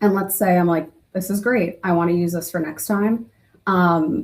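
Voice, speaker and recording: A somewhat breathy woman's voice, fairly low in pitch, with an American accent. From New Jersey. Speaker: internal communications professional. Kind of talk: webinar demo. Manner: fast.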